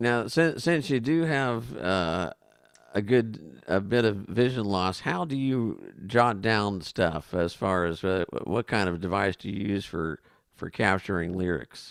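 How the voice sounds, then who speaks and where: On a very clean recording with a silent background, a man with an unremarkable speaking voice talks at a fairly slow pace, fairly low in pitch, with lively intonation. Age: 60s. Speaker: talk show co-host. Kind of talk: interview.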